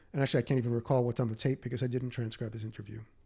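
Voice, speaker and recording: A man with a New York accent has a dark, mellow, somewhat breathy voice and a monotone, flat intonation. The recording is very clean, with a silent background. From New York City, Queens. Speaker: author and podcast host. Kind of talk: interview.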